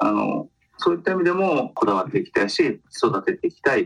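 A man's voice, dry and close with no echo. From Kitakyushu, Japan. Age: 50s. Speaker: film commission officer. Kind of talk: interview.

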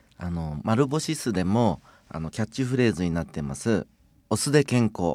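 Recorded very cleanly against a silent background, a man with a fairly low pitch speaks at a moderate pace with very wide pitch swings. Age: 50s. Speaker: vinegar company chairman. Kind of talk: radio interview.

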